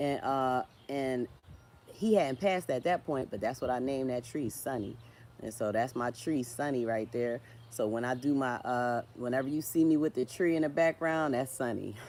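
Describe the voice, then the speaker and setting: A woman with a slight Philadelphia accent speaks in a very deep, low pitch. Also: ordinary pitch variation, moderate pace. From Philadelphia, US. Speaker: social media creator, writer. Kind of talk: livestream casual chat. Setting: live stream, tree in background. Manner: halting, repetitive.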